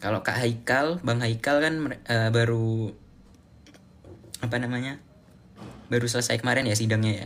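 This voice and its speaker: Somewhat breathy, a man's medium-pitched voice moves at a moderate pace with fairly even intonation. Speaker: live streamer, student. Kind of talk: casual live stream chat. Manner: casual, halting with fillers.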